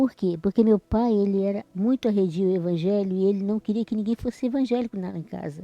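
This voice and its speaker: A woman speaks at a medium pitch with ordinary variation and a fairly quick pace. The sound is dry and close with no echo, and music plays in the background. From Brazil, Espírito Santo (rural). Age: 60s. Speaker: church member. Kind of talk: interview testimony. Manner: halting, repeats words.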